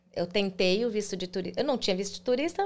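Speaking at a fairly quick pace, a woman makes very wide pitch swings on a very clean recording with a silent background. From Brazil, Goiânia (Goiás). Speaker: immigrant content creator. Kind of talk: interview. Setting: livestream.

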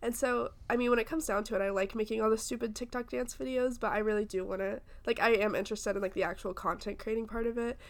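A woman's fairly high voice, very fast, with ordinary pitch variation and hardly any pauses. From US South. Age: 20s. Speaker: podcast co-host, college student. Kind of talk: casual chat.

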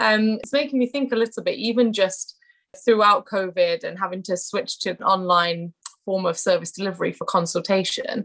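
Here is a woman with a British accent. She talks at a moderate pace. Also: medium pitch for a woman, ordinary pitch variation. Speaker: trainee educational psychologist and podcast host. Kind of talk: interview. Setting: video call.

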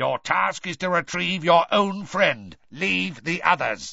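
In a put-on character voice, a man speaks slowly with a high pitch, a croaky quality, vocal fry, a bright, sharp tone and lively intonation.

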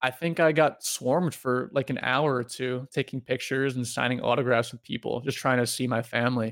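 In a normal speaking voice, a man with a medium pitch talks at a fairly quick pace with fairly even intonation. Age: 20s. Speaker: retired pro gamer. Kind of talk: casual interview.

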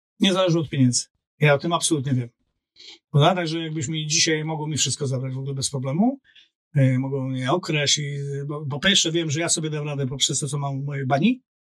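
Somewhat breathy, the voice moves at a very fast pace with ordinary pitch variation. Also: man, fairly high pitch for a man. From Poland, Olsztyn. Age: 50s. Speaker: LinkedIn coach and business strategist. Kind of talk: casual interview chat.

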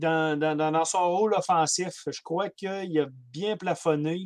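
A man with a Quebec accent talks at a very slow pace on a very clean recording with a silent background. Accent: Québécois French. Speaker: hockey podcast co-panelist. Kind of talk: casual chat.

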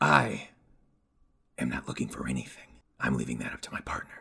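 A man puts on a raspy character voice with a very deep, low pitch and moves at a fairly quick pace. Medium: actual play. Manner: contemptuous, dismissive; cold, terse, menacing.

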